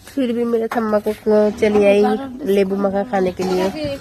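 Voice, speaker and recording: Over noticeable background noise, a woman talks at a fairly slow pace with a Bengali accent. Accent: Bengali-accented Hindi. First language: Bengali (speaking Hindi). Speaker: vlogger. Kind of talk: casual vlog.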